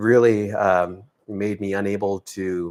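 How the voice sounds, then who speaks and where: Pitched fairly low, a man's voice shows ordinary pitch variation. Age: 60s. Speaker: triathlete and swim support volunteer. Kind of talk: interview. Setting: live video stream. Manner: halting, many fillers.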